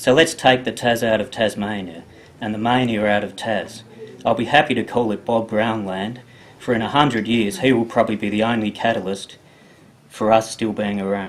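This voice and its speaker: A man with a normal speaking voice talks at a medium pitch and moderate pace with fairly even intonation. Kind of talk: poetry reading.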